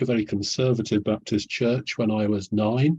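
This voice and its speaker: Somewhat breathy, with a dark, mellow tone, a man talks at a moderate pace. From English North Midlands, Nottingham. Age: 70s. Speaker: historian. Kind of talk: interview. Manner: articulate with some hesitations.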